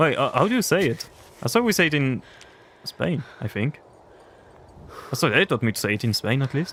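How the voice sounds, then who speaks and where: Pausing long and often, a man speaks fairly quickly at fairly high pitch, his voice making very wide pitch swings. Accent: French. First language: French. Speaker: gaming streamer. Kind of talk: casual chat. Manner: animated.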